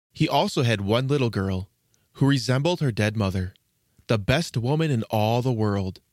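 On a very clean recording with a silent background, a man uses a plain, everyday voice at medium pitch, with lively intonation and a moderate pace. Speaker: storyteller host. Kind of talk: fairy-tale narration, reading aloud. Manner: storytelling cadence, gentle and measured.

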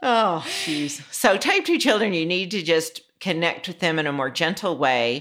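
A woman with an ordinary speaking voice speaks at a fairly slow pace, her fairly low pitch carrying lively intonation. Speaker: author and energy healer. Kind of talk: casual interview chat.

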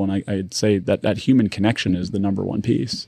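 A man rattles off his words at a very fast pace, with a quiet background behind him. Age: 40s. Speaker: retail company executive. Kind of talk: casual chat.

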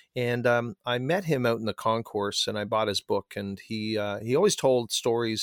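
A man with a plain, everyday voice speaks at a medium pitch with ordinary pitch variation. The sound is dry and close with no echo, and the recording is very clean with a silent background. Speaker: performance mindset coach and author. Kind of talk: interview.

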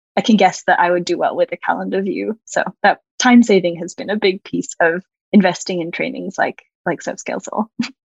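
A woman with an American accent and a medium-pitched voice with vocal fry talks at a fairly quick pace with ordinary pitch variation, the sound dry and close with no echo. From Australia. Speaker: website designer. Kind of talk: interview conversation.

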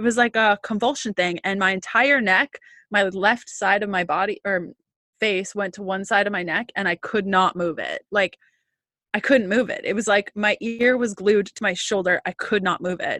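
A woman's plain, everyday voice at a medium pitch with fairly even intonation, a moderate pace, a dry, close sound with no echo, and a quiet background. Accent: Canadian. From Canada. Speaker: holistic nutritionist and intuitive healer. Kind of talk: interview conversation.

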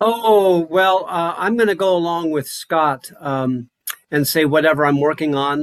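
A man speaks with a fairly high pitch and an American accent, at a fairly slow pace with ordinary pitch variation. It's a plain, everyday voice, with a dry, close sound and no echo. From Wyoming, US. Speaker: conductor and clarinetist. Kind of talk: interview.

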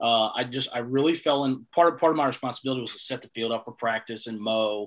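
With a North Carolina accent, a man at medium pitch speaks at a fairly quick pace in a very clean recording with a silent background. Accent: Southern US (North Carolina). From US South, Eastern North Carolina. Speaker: head groundskeeper. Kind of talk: casual interview chat.

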